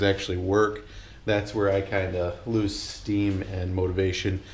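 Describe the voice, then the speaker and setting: A man's somewhat breathy voice with audible room echo. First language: not English. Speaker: YouTuber doing a truck engine swap. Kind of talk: casual vlog talk to camera. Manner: rambling, many filler words; gestures a lot while talking.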